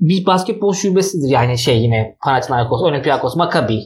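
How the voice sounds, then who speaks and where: His intonation is lively and his voice somewhat breathy. The man speaks at a fairly quick pace. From Istanbul, Turkey. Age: 30s. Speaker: actor. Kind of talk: casual chat. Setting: home living room.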